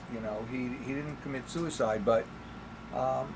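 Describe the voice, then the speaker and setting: Noticeable background noise and audible room echo surround a man with a New York accent. His medium-pitched voice moves at a moderate pace with ordinary pitch variation. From New York, the Bronx. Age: 70s. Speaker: podcast guest, Holocaust survivor's son. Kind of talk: casual interview. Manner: halting.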